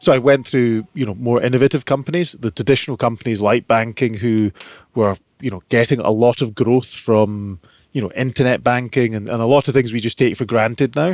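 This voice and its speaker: Speaking with a Scottish accent, a man at medium pitch goes at a fairly quick pace with ordinary pitch variation. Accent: Scottish, relatively soft. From central Scotland. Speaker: solutions architect. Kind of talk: podcast interview. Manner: halting, many fillers and repeats.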